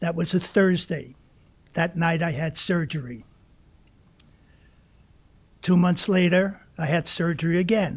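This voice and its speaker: At a fairly slow pace, a man talks in a high-pitched voice. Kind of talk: personal testimony speech. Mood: warm, reflective. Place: hall. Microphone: podium.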